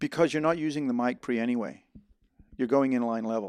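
In a plain, everyday voice, a man speaks at a medium pitch with ordinary pitch variation against a quiet background. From Netherlands (American raised in Holland). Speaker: filmmaker and sound mixer. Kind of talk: casual chat. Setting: home garage.

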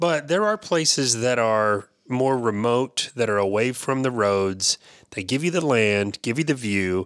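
Recorded very cleanly against a silent background, a man speaks at a fairly slow pace in an unremarkable speaking voice, medium in pitch with ordinary pitch variation and very even loudness. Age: 50s. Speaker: podcast co-host. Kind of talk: casual chat.

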